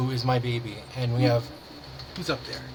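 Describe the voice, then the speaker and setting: A man's voice is heard. The recording carries noticeable background noise. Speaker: podcast co-host. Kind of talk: casual chat.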